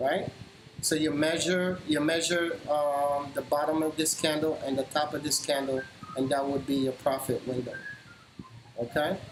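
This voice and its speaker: Noticeable background noise behind a man's fairly high, monotone, flat voice, very even in loudness, at a moderate pace. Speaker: stock trader streamer. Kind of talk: live trading tutorial.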